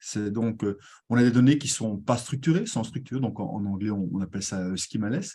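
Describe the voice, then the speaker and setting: A man with a Belgian accent has a dark, mellow tone at medium pitch, with ordinary pitch variation and a moderate pace. The recording is very clean, with a silent background. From Belgium. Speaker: tech community manager and presenter. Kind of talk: conference presentation. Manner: hesitant, many fillers.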